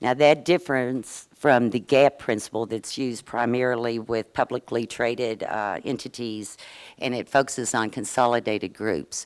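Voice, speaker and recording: A woman with a Southern US accent speaks at a moderate pace in a very deep, low voice with ordinary pitch variation. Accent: Southern US twang. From US South, Kentucky. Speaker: state insurance regulator. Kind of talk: conference presentation. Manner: halting, with fillers.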